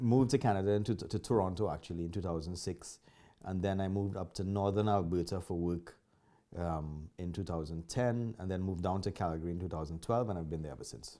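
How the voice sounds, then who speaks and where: A man with a Trinidadian accent, very deep and low in pitch with a dark, mellow tone, ordinary pitch variation and a very fast pace, on a very clean recording with a silent background. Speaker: martial arts instructor. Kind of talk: interview.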